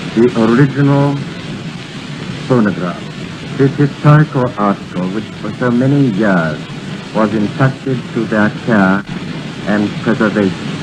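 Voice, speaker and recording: Amid noticeable background noise, a man speaks fairly slowly at a medium pitch with ordinary pitch variation and long, frequent pauses. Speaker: British diplomat presenting the phonograph. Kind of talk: formal ceremonial speech on 1928 radio broadcast. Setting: old radio broadcast recorded from disc.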